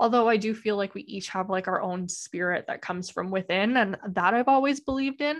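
A woman speaks at a fairly quick pace with ordinary pitch variation. The background is quiet. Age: 20s. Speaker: podcast host. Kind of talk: solo podcast monologue. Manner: casual with many fillers.

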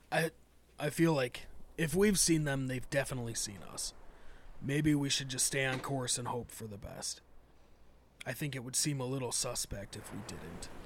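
Putting on a raspy character voice, a man talks at a moderate pace and medium pitch. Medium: actual play.

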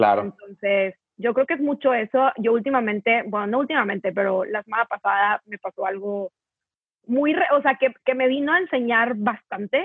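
Lively intonation and a moderate pace mark a normal speaking voice. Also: woman, fairly high pitch for a woman. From northern Mexico, Torreón. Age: 20s. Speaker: content creator. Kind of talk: casual chat.

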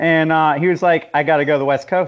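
Against a quiet background, a man speaks at a moderate pace. He has an American accent. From US Southeast, Jacksonville and Atlanta. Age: 40s. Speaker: magazine founder and podcast host. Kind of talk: casual chat.

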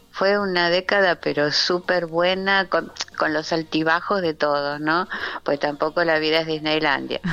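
Music plays behind a woman with a fairly low pitch. She speaks at a fairly slow pace in a monotone, flat intonation with very even loudness. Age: 70s. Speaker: architect and shop window designer. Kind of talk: radio interview.

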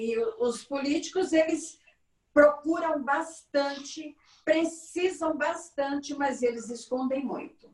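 A woman's high voice at a very slow pace, with ordinary pitch variation and music in the background. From Minas Gerais, Brazil. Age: 60s. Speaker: candomblé priestess. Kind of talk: interview.

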